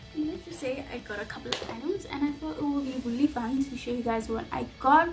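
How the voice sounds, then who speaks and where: A woman talks at a very fast pace in a high voice with ordinary pitch variation. Noticeable background noise runs underneath. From South Africa. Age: 20s. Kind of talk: casual talk to camera. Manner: upbeat.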